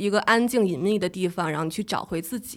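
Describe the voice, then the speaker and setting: The recording is very clean, its background silent. A woman talks at a fairly high pitch. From Beijing. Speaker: travel and food blogger. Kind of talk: casual interview.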